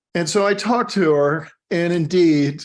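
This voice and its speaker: A man's pitch varies in an ordinary way as he talks, and the background is quiet. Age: 60s. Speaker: business succession and exit planning advisor. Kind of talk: podcast interview, conversational storytelling. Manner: halting, many repetitions and fillers.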